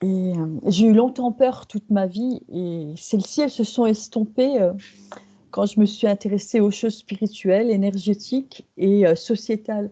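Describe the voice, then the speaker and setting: A woman speaks at a fairly slow pace in a somewhat breathy, medium-pitched voice with a dark, mellow tone and ordinary pitch variation. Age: 60s. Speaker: hypnosis client. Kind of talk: testimony. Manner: halting.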